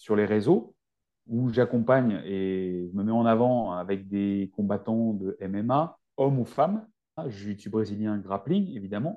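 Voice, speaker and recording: Very slow speech from a man, medium in pitch, with ordinary pitch variation. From rural France. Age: 40s. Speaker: naturopath and nutrition adviser. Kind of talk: podcast interview.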